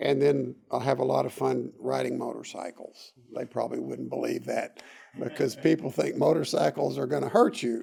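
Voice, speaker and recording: A man talks with a Texas accent. He keeps a moderate pace. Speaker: doctor. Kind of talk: interview.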